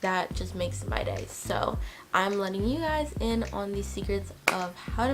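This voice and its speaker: Upbeat in tone, a woman speaks at a moderate pace with music in the background. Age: 20s. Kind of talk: casual talk to camera.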